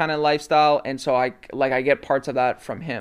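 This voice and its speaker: A man speaks quickly, at a fairly high pitch. His is an unremarkable speaking voice, and the pace is fairly quick. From Canada, Toronto area (Mississauga). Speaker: sneaker and fashion content creator. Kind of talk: casual interview chat.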